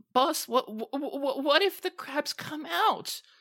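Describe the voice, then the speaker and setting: The pitch is high. The speaker is doing a put-on character voice. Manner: gruff, brooding.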